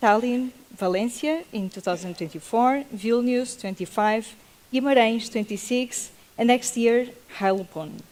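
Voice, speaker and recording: A woman speaks with a non-native accent. Her pitch is fairly high and her pace fairly slow. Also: ordinary pitch variation. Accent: non-native English accent, self-noted. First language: Portuguese. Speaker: panel moderator. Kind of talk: panel moderation. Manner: halting.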